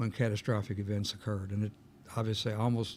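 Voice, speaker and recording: A man with a Kentucky accent talks at a medium pitch. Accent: Kentucky Southern US. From Kentucky, Meade County area. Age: 70s. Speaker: insurance agent. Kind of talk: interview. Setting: studio.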